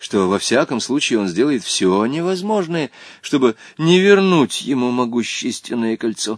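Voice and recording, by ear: Someone reads the text aloud in a natural way.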